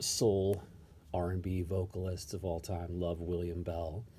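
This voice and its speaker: A man talks quietly and somewhat breathily at a fairly slow pace. His very deep, low pitch carries a dark, mellow tone. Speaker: record collector vlogger. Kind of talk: casual show-and-tell monologue. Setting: at home, early morning. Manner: quiet, kept low.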